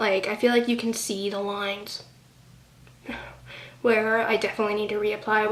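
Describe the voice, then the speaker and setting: Amid noticeable background noise, a woman speaks at a fairly high pitch in a monotone, flat intonation, leaving long, frequent pauses. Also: moderate pace. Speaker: beauty vlogger. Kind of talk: casual product review vlog. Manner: casual with many fillers.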